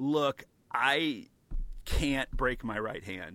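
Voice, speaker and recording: This man has an American accent and a fairly high pitch with a bright, sharp tone. The recording is very clean, with a silent background. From US Midwest (St. Louis, Missouri). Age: 40s. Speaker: podcast host, magic news site.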